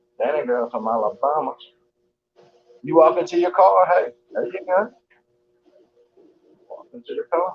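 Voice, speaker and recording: Speaking with a Southern US accent, a man leaves long, frequent pauses and shows big swings in loudness. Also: moderate pace. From US South, Georgia. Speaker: live streamer. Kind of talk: casual chat. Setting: live stream while walking on treadmill.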